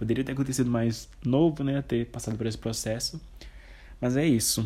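A man speaks at a moderate pace in a somewhat breathy voice with a dark, mellow tone and fairly even intonation, in a very clean recording with a silent background. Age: 20s. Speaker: podcaster. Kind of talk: personal storytelling monologue.

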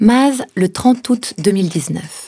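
A woman's somewhat breathy voice with a dark, mellow tone and lively intonation. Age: 40s. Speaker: letter writer reading her own letter. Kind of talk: reading aloud.

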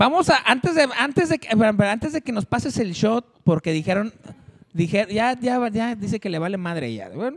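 A man with a Mexican accent, high pitch, animated tone, lively intonation and moderate pace, in a dry, close sound with no echo. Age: 40s. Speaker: show host. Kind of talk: casual chat.

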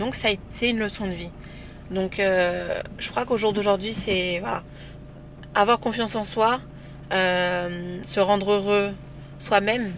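A woman with a medium-pitched voice talks at a very slow pace, her intonation fairly even and her speech broken by long, frequent pauses. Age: 20s. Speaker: interview guest. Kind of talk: casual interview. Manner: hesitant, many fillers.

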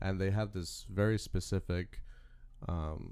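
A man's very deep, low voice with a dark, mellow tone and fairly even intonation. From Louisiana, Baton Rouge. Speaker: political candidate. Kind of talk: casual chat.

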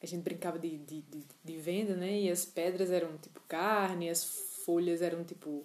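The speaker has a northeastern Brazilian accent. The intonation stays flat and monotone. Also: woman. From Northeast Brazil, João Pessoa. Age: 20s. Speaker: podcaster. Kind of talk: casual monologue. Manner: hesitant, many fillers.

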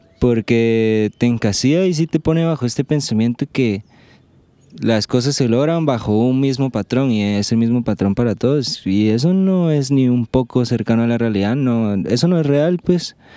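A man's dark, mellow tone at very even loudness, on a very clean recording with a silent background. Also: medium pitch for a man, ordinary pitch variation, moderate pace. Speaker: podcast host. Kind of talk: casual chat. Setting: outdoors.

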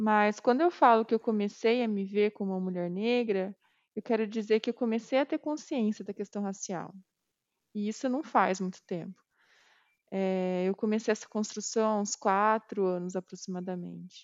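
In a plain, everyday voice, a woman speaks at a moderate pace and fairly high pitch with ordinary pitch variation. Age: 30s. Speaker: quality assurance professional. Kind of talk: interview testimony.

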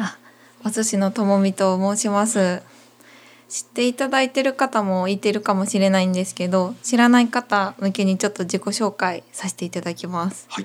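The speech moves at a moderate pace. Its intonation is fairly even. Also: woman, medium pitch for a woman. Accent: Kansai. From Wakayama, Japan. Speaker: singer-songwriter. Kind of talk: casual interview. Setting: running shop.

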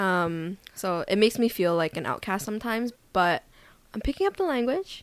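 Lively intonation marks a woman's medium-pitched voice at a moderate pace in a very clean recording with a silent background. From Vancouver, Canada. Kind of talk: casual chat. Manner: animated.

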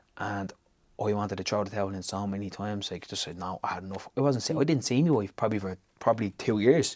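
In a Dublin accent, a man with a fairly low pitch and ordinary pitch variation speaks at a very fast pace in a very clean recording with a silent background. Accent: Dublin Irish. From Ireland, Tallaght (Dublin). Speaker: business founder. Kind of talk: interview.

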